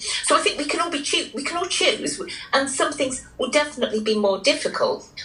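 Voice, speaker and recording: Over noticeable background noise, a woman with a high pitch speaks at a fairly quick pace. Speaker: psychologist and author being interviewed. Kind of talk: radio interview answer.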